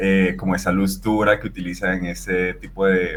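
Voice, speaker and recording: A man speaks over noticeable background noise. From Venezuela. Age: 30s. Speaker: fashion photographer. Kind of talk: interview conversation. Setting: podcast.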